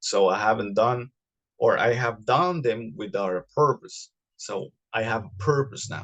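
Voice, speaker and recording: With a non-native accent, a man speaks at a moderate pace and medium pitch, his intonation lively. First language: not English. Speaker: podcast host. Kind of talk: solo podcast monologue. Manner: halting, many fillers and repetitions.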